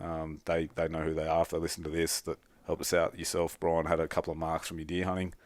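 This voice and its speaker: A man with a very deep, low pitch talks at a fairly quick pace in a very clean recording with a silent background. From Australia. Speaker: bowhunter. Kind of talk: casual podcast interview.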